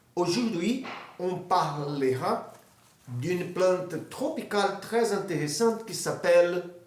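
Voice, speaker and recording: Audible room echo surrounds a man who talks at a very slow pace in a high pitch with ordinary pitch variation. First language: Portuguese (speaking French). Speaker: amateur botany video maker. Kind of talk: informal educational talk. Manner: halting, many hesitations.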